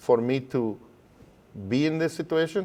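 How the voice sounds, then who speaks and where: This man talks at a moderate pace with a Spanish accent, his medium pitch carrying ordinary pitch variation. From Guatemala. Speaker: educator. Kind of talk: interview.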